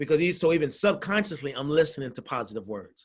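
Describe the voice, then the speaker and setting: Speaking at a fairly quick pace, a man with a fairly high pitch uses lively intonation and an animated tone on a very clean recording with a silent background. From Syracuse, New York. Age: 50s. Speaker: workforce development trainer. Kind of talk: motivational workshop talk.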